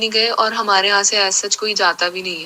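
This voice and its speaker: A woman talks at a medium pitch and a moderate pace. Her intonation stays monotone and flat. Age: 20s. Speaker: devotee sharing testimony. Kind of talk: testimony.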